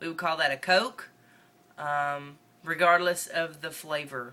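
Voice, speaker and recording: Speaking at a fairly slow pace with a northern Mississippi accent, a woman uses a bright, sharp tone and big swings in loudness. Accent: Southern US, northern Mississippi. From northeast Mississippi. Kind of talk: casual talk to camera. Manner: rambling, casual.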